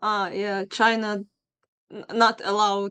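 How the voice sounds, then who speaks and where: A woman with a Ukrainian accent speaks at a very slow pace in a monotone, flat intonation and medium pitch. The sound is dry and close, with no echo. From Ukraine, Lviv. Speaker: video chat stranger. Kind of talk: casual chat. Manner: halting.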